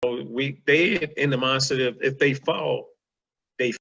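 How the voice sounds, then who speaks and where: Fairly high-pitched male voice with a Southern US accent. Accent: country Southern, a bit street. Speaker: podcast guest. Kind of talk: casual chat.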